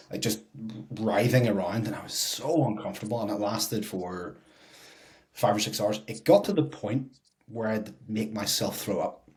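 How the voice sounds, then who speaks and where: An unremarkable speaking voice from a man, fairly low-pitched, with ordinary pitch variation and a moderate pace. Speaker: fitness podcast co-host, personal trainer. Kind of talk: casual chat.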